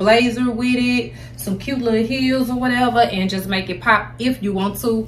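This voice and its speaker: A woman speaks at a moderate pace with faint music in the background. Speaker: fashion vlogger. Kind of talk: casual vlog chat. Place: home room.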